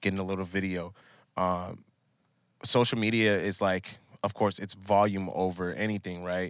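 With an American accent, a man speaks at a very deep, low pitch in a monotone, flat intonation. He keeps a moderate pace broken by long, frequent pauses. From Minnesota, US. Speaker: musician. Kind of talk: casual chat.

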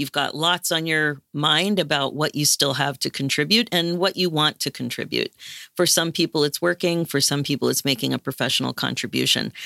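A woman's very deep, low voice with vocal fry and a bright, sharp tone, at a fairly quick pace with very even loudness and ordinary pitch variation, in a very clean recording with a silent background and a dry, close sound with no echo. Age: 60s. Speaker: life coach. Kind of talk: interview.

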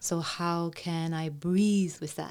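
In a very clean recording with a silent background, a woman speaks at a fairly low pitch in a monotone, flat delivery. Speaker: voice coach. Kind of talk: casual interview chat.

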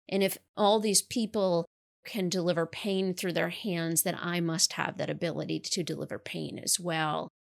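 Recorded very cleanly against a silent background, a woman with an American accent and an ordinary speaking voice talks at a moderate pace, her pitch fairly low and her intonation fairly even. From New York. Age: 30s. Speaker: author. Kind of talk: interview testimony.

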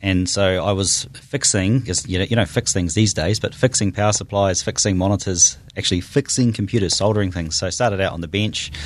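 A man speaks with a New Zealand accent at a fairly low pitch. His pace is fairly quick and his intonation fairly even. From New Zealand, Auckland North Shore. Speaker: tech startup founder. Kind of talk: interview.

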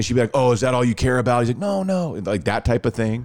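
A man with an American accent talks very fast at a medium pitch. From Texas, Dallas-Fort Worth. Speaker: radio host. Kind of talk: casual chat.

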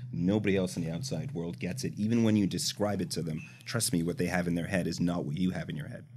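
Speaking at a very fast pace with lively intonation, a man with a Canadian accent uses a very deep, low pitch. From Canada. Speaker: startup founder and CEO. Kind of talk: casual interview chat.

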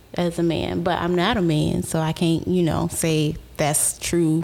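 A woman speaks with an American accent. Noticeable background noise is present. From Houston, Texas. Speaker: recruiter and cosmetics business owner. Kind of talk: casual chat.

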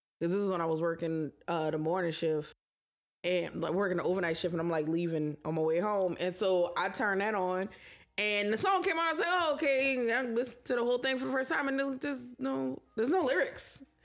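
A woman's medium-pitched voice makes very wide pitch swings at a fairly quick pace while her loudness stays very even. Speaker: podcast co-host. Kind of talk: casual chat.

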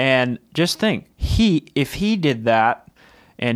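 Heard on a very clean recording with a silent background, a man with an American accent uses a plain, everyday voice, fairly high in pitch with lively intonation. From Texas. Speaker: music licensing company co-founder. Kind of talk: casual interview chat. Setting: studio.

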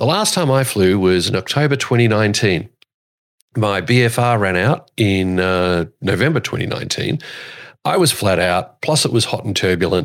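With an Australian accent, the speaker talks at a fairly slow pace. Intonation is lively and loudness very even. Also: man, fairly low pitch for a man. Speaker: podcast host and airshow commentator. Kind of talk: casual chat.

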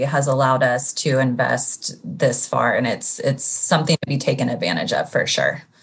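A woman talks with a Californian accent. Her pace is moderate. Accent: General American (California). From Sacramento, California. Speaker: nurse administrator and real estate investor. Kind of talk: interview.

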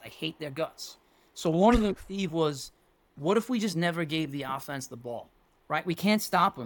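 A plain, everyday voice from a man with an American accent, fairly high in pitch, lively in intonation, at a moderate pace, on a very clean recording with a silent background. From New York City, Staten Island. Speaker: football coach. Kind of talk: casual chat.

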